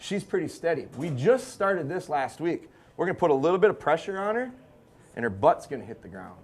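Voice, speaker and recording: Loud and at a fairly quick pace, a man with a high pitch talks with lively intonation. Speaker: dog trainer. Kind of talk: live seminar demonstration. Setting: live audience, about fifty people. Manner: fast.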